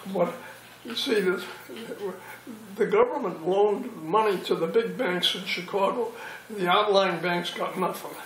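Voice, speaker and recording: There is noticeable background noise as a man with a high pitch talks at a fairly slow pace. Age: 80s+. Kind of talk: interview answer.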